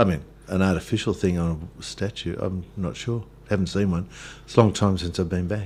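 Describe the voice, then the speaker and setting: Speaking with an Australian accent, a man has a very deep, low pitch. His pace is fairly quick and his intonation fairly even. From Australia, western Victoria (Hamilton). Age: 60s. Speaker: pastor. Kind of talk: radio interview. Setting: radio studio. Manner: hesitant, many fillers.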